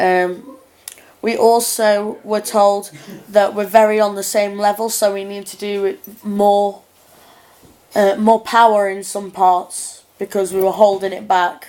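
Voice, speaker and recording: Loudness swings widely while the intonation stays monotone and flat. The pace is fairly slow. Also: woman, medium pitch for a woman. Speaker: performing arts student. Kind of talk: video diary reflection. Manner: halting.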